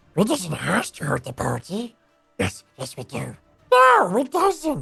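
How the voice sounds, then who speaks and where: A whiny, put-on character voice at a fairly high pitch and fairly slow pace, with faint music in the background. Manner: whiny, obsessive.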